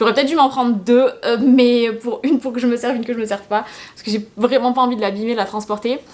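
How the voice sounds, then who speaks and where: The delivery is very fast, with fairly even intonation. Loudness swings widely throughout. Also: woman, high pitch for a woman. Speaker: YouTuber. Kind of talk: casual haul video talk.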